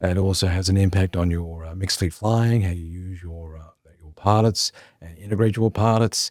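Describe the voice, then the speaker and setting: A man with an Australian accent speaks at a moderate pace with a very deep, low pitch, fairly even intonation and big swings in loudness. The sound is dry and close with no echo, on a very clean recording with a silent background. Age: 60s. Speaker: former airline chief executive. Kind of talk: interview.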